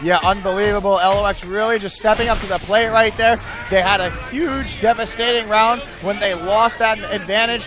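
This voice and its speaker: A man with a high voice keeps his intonation fairly even while noticeable noise carries on in the background. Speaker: esports caster. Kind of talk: live commentary. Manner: loud; fast.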